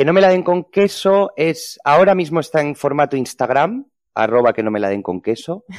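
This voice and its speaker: At a moderate pace, a man speaks at a fairly high pitch with very wide pitch swings, the sound dry and close with no echo. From Spain, Ponferrada (León). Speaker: hotel PR manager and food blogger. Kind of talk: interview.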